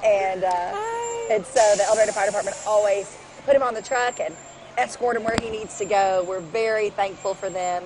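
A woman's fairly high voice at a moderate pace, with a dry sound with no echo and noticeable background noise. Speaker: TV news anchor co-hosting parade broadcast. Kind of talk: live parade commentary, chatty. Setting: outdoors at parade, live broadcast. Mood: cheerful, festive. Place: street. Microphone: headset.

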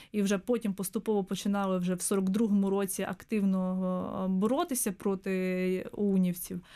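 Speaking at a fairly slow pace over a quiet background, a woman keeps a flat monotone and a very even loudness. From southern Ukraine, Mykolaiv; Ukraine. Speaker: historian, museum researcher; guest. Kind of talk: radio interview. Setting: studio. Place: studio. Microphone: studio mic.

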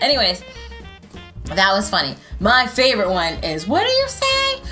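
A woman's voice is heard while clear music plays behind it. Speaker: reaction video creator. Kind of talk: casual vlog chat. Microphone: headset.

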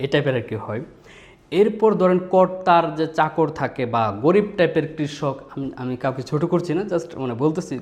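Lively intonation marks a man's fairly high voice, an unremarkable speaking voice. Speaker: voice actor. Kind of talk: voice demo talk to camera.

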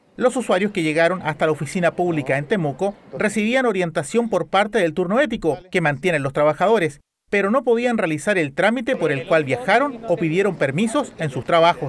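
A man talks at a fairly quick pace with high pitch and lively intonation over noticeable background noise. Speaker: news reporter. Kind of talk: news reading. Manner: formal.

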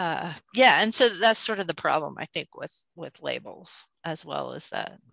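A woman speaks at a fairly slow pace with vocal fry and a bright, sharp tone. Her pitch varies in an ordinary way, and the sound is dry with no echo over a quiet background. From New Mexico. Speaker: school faculty member. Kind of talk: casual discussion. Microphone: video call.

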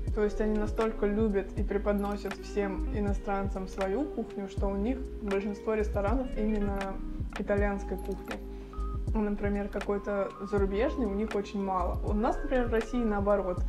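Clear music plays in the background as a woman speaks at very even loudness. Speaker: food vlogger. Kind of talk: casual vlog chat. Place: kitchen. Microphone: lapel.

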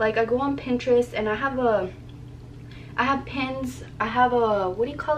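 The speech moves at a moderate pace with ordinary pitch variation. Light background noise sits behind it. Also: woman. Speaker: vlogger. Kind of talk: casual vlog chat. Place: home room. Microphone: phone near.

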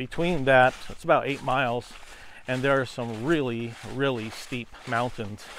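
At a moderate pace, a man speaks over light background noise, the sound dry with no echo. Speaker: landowner vlogger. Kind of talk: casual vlog chat. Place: forest. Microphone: lapel.

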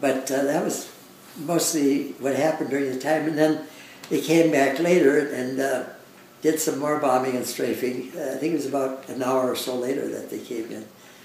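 The speech moves at a moderate pace with monotone, flat intonation, audible room echo, and light background noise. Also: man. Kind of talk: interview answer. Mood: reflective, occasional laughs. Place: home room.

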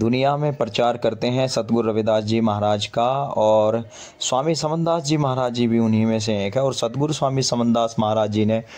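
At a moderate pace, a man speaks with very even loudness and fairly even intonation. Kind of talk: walking tour commentary on religious history. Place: church. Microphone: phone near.

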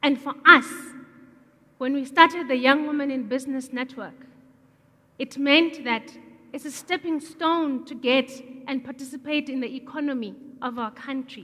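A woman with a high pitch uses a raised, projected voice at a moderate pace, her intonation fairly even, with long, frequent pauses and big swings in loudness. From South Africa. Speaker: entrepreneur; speaker. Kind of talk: public talk. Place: stage. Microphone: headset.

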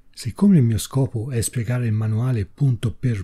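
A man's somewhat breathy, dark, mellow voice at medium pitch, with a Tuscan accent, fairly even intonation and a moderate pace. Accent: Sienese Tuscan Italian. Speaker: software tutorial maker. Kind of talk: tutorial. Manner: read from notes.

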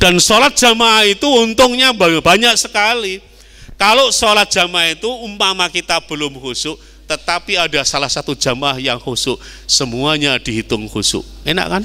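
With a Javanese accent, a man talks at a high pitch and a moderate pace, his bright, sharp tone moving through very wide pitch swings. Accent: Javanese-accented Indonesian. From East Java, Indonesia. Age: 60s. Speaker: Islamic preacher; preacher. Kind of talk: sermon. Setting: mosque. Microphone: handheld.

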